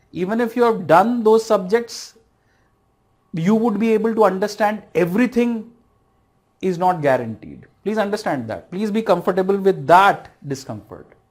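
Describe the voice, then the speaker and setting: The speaker has an Indian accent. The pace is moderate. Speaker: civil services exam lecturer. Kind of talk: online lecture.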